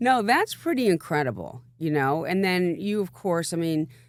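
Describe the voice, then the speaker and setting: In a very clean recording with a silent background, a woman with a normal speaking voice talks at a fairly low pitch and a fairly slow pace, her intonation lively. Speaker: entertainment attorney, podcast host. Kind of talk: interview conversation.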